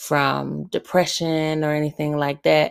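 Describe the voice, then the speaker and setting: In a Southern US accent, a woman talks at a fairly slow pace with a very deep, low pitch. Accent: Southern American. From Alabama, US South. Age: 30s. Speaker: podcast host, military veteran. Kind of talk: solo Q&A podcast monologue. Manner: conversational, laughs often.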